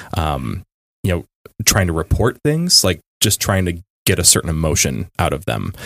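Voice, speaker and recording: Over a very clean recording with a silent background, a man with an American accent speaks at a moderate pace in a very deep, low pitch, the sound dry and close with no echo. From US Midwest, Chicago suburbs. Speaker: writer and blogger. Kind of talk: casual podcast interview.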